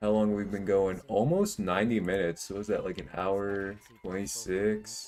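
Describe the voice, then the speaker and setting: Music plays behind a man speaking at a moderate pace. His fairly low voice stays monotone and flat. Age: 20s. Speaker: gaming streamer. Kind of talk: casual livestream chat. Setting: livestream. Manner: casual, rambling with fillers.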